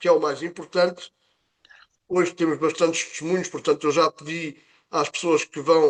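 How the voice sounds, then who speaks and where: Fairly slow speech is heard in a dry, close recording that has no echo. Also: man. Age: 60s. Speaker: nurse presenting health product session. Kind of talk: online presentation. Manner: halting with fillers.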